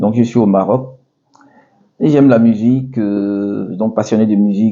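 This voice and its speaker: His voice sits at a fairly low pitch. The man's intonation remains fairly even. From Ivory Coast, Abidjan. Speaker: restaurant owner. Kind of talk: interview. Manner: hesitant, many fillers.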